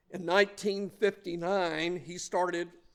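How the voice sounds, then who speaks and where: A high-pitched man with a Southern US accent at a fairly slow pace. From US South, Mobile, Alabama. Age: 60s. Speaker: lay speaker. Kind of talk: sermon.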